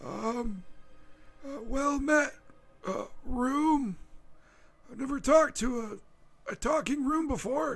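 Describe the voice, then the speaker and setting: Putting on a character voice at an extremely high pitch, a man speaks at a fairly slow pace with long, frequent pauses. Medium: actual play. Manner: hesitant, stammering, polite.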